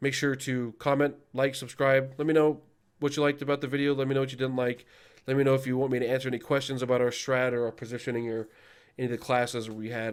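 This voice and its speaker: In a very clean recording with a silent background, a man speaks very fast at a medium pitch in a flat monotone. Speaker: gaming YouTuber and raid leader. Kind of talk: casual video outro talk to viewers. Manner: hesitant, many fillers.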